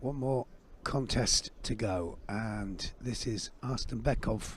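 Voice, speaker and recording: In a very clean recording with a silent background, a somewhat breathy man talks at a very slow pace in a medium pitch with ordinary pitch variation. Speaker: sports commentator. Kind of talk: live commentary. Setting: live sports event. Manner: animated.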